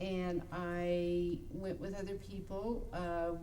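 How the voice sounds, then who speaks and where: Against noticeable background noise and audible room echo, a woman with a Western US accent speaks at a fairly low pitch. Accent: General American, western US. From Idaho and California Bay Area. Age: 60s. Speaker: talk show co-host. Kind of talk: personal life story on internet radio show. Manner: hesitant, many fillers.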